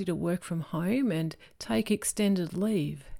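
A woman with lively intonation at a moderate pace, on a very clean recording with a silent background. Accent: Australian. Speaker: preacher. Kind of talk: sermon.

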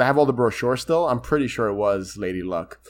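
The pace is very fast. A man is talking in an American accent. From New York. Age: 30s. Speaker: podcast host. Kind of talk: casual chat.

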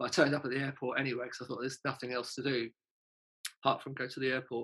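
A man speaks in a London accent at a medium pitch. His tone is bright and sharp, his intonation monotone and flat. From North London, England. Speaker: punk singer and songwriter. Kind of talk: casual interview chat.

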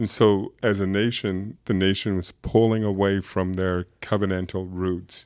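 A man with a fairly low pitch talks at a fairly slow pace in a flat monotone, hardly pausing. The recording is very clean, with a silent background. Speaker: pastor. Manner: hesitant, many fillers.

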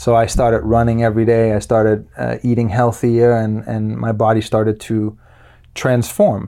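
Here a man talks in a Danish accent at medium pitch. His pace is moderate and his intonation monotone and flat. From Denmark and Luxembourg. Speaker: qigong teacher and personal trainer. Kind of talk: interview. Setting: studio.

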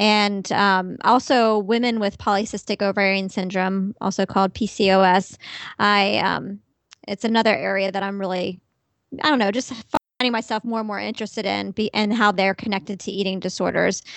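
Here is a woman with a plain, everyday voice at a medium pitch. She moves at a fairly quick pace with fairly even intonation. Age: 40s. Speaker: dietitian. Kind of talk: interview.

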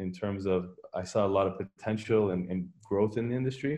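This is an ordinary speaking voice with a Canadian accent. It moves at a moderate pace. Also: man. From Canada, Toronto area (Richmond Hill). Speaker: company founder and CEO. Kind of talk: interview conversation.

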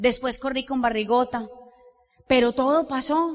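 A woman's high-pitched voice. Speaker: business leader. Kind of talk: motivational talk.

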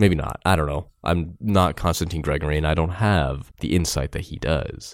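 A man speaks in a very clean recording where the background is silent. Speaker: podcast host reading a book aloud. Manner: casual, rambling asides.

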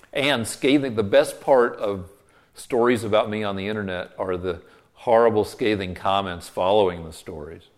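A man with an American accent speaks at a moderate pace in an ordinary speaking voice. His pitch is fairly low with ordinary variation, and his loudness swings widely. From Colorado. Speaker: TV comedy writer. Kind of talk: interview.

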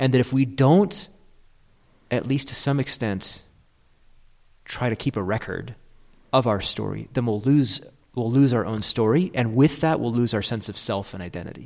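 The recording is very clean, with a silent background. A man with a medium-pitched voice and ordinary pitch variation speaks at a moderate pace with long, frequent pauses. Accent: American. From Michigan. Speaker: podcast co-host. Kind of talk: casual chat. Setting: studio.

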